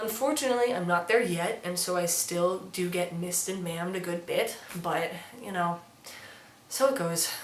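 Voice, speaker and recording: With noticeable background noise and audible room echo, a woman of fairly low pitch talks at a fairly quick pace with ordinary pitch variation. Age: 20s. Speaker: transmasculine vlogger and musician. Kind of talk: casual vlog. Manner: casual, with fillers.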